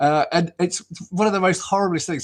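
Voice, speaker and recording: A man talks with a southern English accent. The recording is very clean, with a silent background. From southern England, Southampton. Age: 60s. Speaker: football commentator. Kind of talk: casual interview chat. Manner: hesitant, many fillers and repeats.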